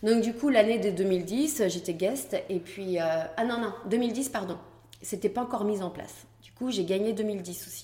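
A woman's somewhat breathy voice has an animated tone and ordinary pitch variation, with big swings in loudness. Audible room echo is present. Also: medium pitch for a woman, fairly slow pace. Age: 40s. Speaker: pole dance champion and studio founder. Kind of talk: casual interview. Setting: dance studio. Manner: animated, laughing often.

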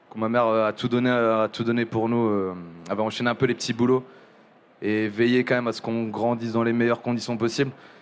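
At a fairly quick pace, a man talks at medium pitch in a monotone, flat way. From southern France, Montpellier. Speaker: music journalist. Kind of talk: live podcast interview. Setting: live venue with audience. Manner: halting, many fillers and repetitions.

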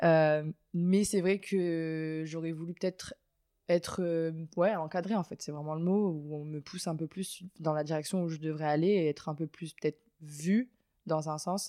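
Recorded very cleanly against a silent background, with a dry, close sound and no echo, a woman speaks at a fairly slow pace in a dark, mellow tone. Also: fairly low pitch for a woman. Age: 20s. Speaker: water polo player. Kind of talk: interview. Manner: hesitant.

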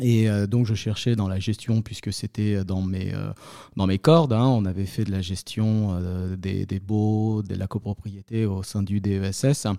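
A man speaks at a very slow pace in a fairly low pitch, with a dark, mellow tone and fairly even intonation. The recording is very clean, with a silent background. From Paris. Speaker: property manager. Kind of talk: interview. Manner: halting.

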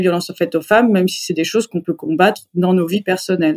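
At a medium pitch with ordinary variation, a woman speaks in a plain, everyday voice. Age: 30s. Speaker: circus artist. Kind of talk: interview.

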